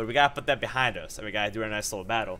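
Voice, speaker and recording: An animated voice comes through on a very clean recording with a silent background. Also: man. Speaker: Pokemon battle commentator. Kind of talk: live gameplay commentary. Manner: fast.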